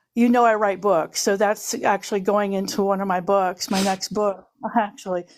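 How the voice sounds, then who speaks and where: Here a woman uses an ordinary speaking voice at medium pitch and a moderate pace. The recording is very clean, with a silent background. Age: 60s. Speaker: panel guest sharing survivor story. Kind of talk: personal testimony in live stream chat.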